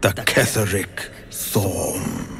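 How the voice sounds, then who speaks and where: A man puts on a character voice while clear background noise runs underneath. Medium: video game. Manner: slow, halting, archaic phrasing.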